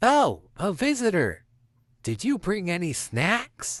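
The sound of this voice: In a put-on character voice at a middle pitch, the speaker moves at a fairly slow pace with very wide pitch swings.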